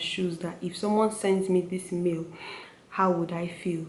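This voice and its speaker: A woman speaks in a Nigerian accent at a medium pitch. Her delivery is fairly slow, with monotone, flat intonation. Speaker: medical student. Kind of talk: casual talk to camera.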